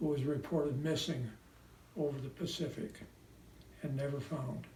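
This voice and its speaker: Amid audible room echo, a man with an American accent speaks somewhat breathily at a fairly slow pace, his fairly high pitch held in fairly even intonation. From US Midwest, Indiana (South Bend). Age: 90s. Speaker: World War II veteran. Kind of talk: prepared personal message, read aloud.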